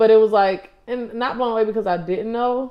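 A woman with an American accent has a normal speaking voice, pitched fairly high with ordinary pitch variation. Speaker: former college basketball player, pro overseas. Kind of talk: casual chat interview.

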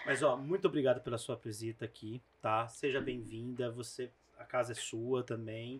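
At a moderate pace, a man speaks with a somewhat breathy voice, a medium pitch and fairly even intonation. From interior of São Paulo state, Brazil. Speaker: videocast host. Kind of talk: casual interview.

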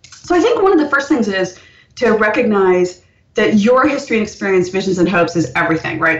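A woman with an American accent speaks at a fairly quick pace in a fairly high, somewhat breathy voice, making very wide pitch swings. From India, then United States. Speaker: author. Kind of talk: interview.

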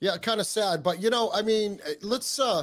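In a New England accent, a man speaks at a fairly quick pace. The recording is very clean, with a silent background. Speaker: podcaster, co-host. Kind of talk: casual discussion.

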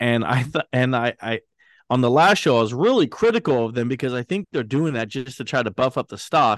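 In a quiet background with a dry, close sound and no echo, a man with a normal speaking voice talks at medium pitch and a fairly quick pace. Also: ordinary pitch variation. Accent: American. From Britain, then US. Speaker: podcast host, stock market commentator. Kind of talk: casual chat.

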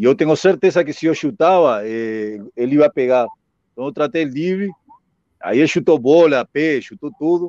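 A man with a Spanish accent speaks at a moderate pace, his pitch fairly high and his intonation lively. The sound is dry and close, with no echo. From Uruguay. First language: Spanish (speaking Portuguese). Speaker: former footballer. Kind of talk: casual interview.

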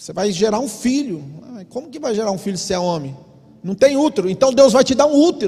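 The animated voice makes very wide pitch swings and big swings in loudness at a fairly quick pace. Noticeable background noise is present. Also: man, high pitch for a man. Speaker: pastor. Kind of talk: sermon. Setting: church.

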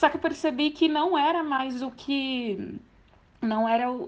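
A woman at a fairly slow pace with ordinary pitch variation, over a quiet background. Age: 20s. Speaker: percussionist. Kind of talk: testimony.

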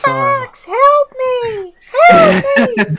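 The voice is a squeaky, put-on character voice. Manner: panicked, pleading.

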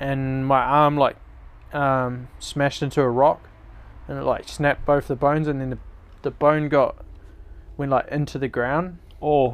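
Fairly high pitch from a man with a New Zealand accent, monotone and flat, at a moderate pace with long, frequent pauses. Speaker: mountain bike racer. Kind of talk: casual interview. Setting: outdoors.

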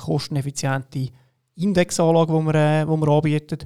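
A man speaks at a moderate pace with a dark, mellow tone and fairly even intonation, in a very clean recording with a silent background. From Switzerland, Lucerne. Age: 30s. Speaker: fintech founder. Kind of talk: podcast interview. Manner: halting, many fillers.

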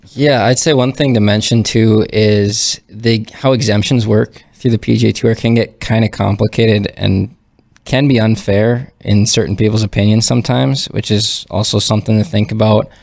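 A man with an Upper Midwest accent talks at a moderate pace in a fairly low pitch. His loudness is very even, and his intonation is fairly even. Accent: Upper Midwest American. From North Dakota (Fargo). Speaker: professional golfer. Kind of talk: casual chat.

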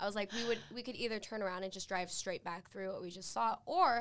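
A woman with an American accent talks at a fairly quick pace in an unremarkable speaking voice, with ordinary pitch variation. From Utah. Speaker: university student. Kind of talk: casual chat.

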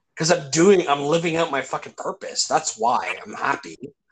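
A man with a Canadian accent and a normal speaking voice, fairly high in pitch, at a moderate pace over a quiet background. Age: 40s. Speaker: podcast host. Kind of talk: casual chat.

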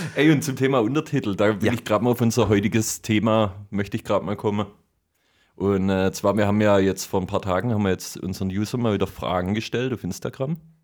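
Talking at a very fast pace with a slight Swabian accent and ordinary pitch variation, the voice sits on a very clean recording with a silent background. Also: man, fairly low pitch for a man. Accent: light Swabian dialect. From Swabia, southern Germany. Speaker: podcast host. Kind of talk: casual chat. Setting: home studio.

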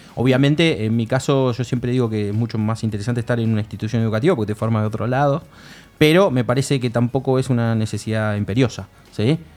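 His pitch is medium and varies in an ordinary way. The man speaks at a very fast pace. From Argentina, Buenos Aires northern suburbs. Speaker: government video game coordinator and lecturer. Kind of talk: casual chat.

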